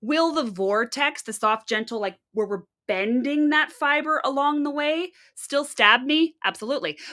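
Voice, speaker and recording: A woman's high-pitched, raised and projected voice in a Canadian accent, bright and sharp in tone, animated, with lively intonation at a moderate pace on a very clean recording with a silent background. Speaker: fiber arts livestreamer, spinner. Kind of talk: live stream tutorial chat.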